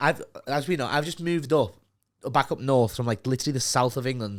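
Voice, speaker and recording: A man with a Liverpool accent, medium pitch and a fairly quick pace, on a very clean recording with a silent background. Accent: Scouse. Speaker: podcast host. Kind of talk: casual chat. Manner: animated.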